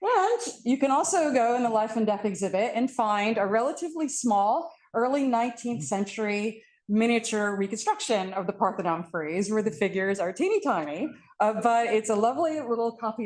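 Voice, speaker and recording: A loud, fairly high female voice with very wide pitch swings against a quiet background. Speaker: art history professor. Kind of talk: panel talk.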